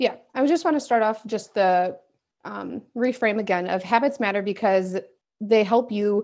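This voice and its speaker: A woman talks at a moderate pace with ordinary pitch variation. The background is quiet. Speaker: podcast co-host. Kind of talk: casual podcast chat. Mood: playful, laughing. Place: home room. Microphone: earbuds.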